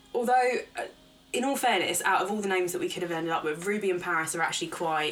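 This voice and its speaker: A woman talks at a very fast pace in an animated tone, her pitch medium. Noticeable background noise runs underneath. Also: ordinary pitch variation. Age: 20s. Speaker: podcast co-host. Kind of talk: casual chat.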